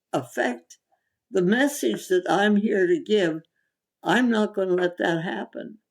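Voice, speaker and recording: A woman's voice with vocal fry, very wide pitch swings, and a fairly slow pace. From India. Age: 80s+. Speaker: holistic physician. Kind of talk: interview answer.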